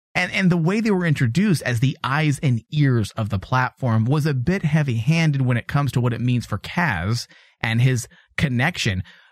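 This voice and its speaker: A man talks in a somewhat breathy, playful tone with lively intonation. The recording is very clean, with a silent background and a dry, close sound free of echo. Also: medium pitch for a man, moderate pace. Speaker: podcast host. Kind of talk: casual chat. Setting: studio. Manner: jokey, playful.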